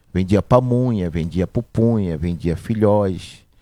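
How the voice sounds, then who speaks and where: On a very clean recording with a silent background, a man with a fairly low pitch speaks with lively intonation. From Manacapuru, Amazonas, Brazil. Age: 40s. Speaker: business owner, butcher shop. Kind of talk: interview, life story.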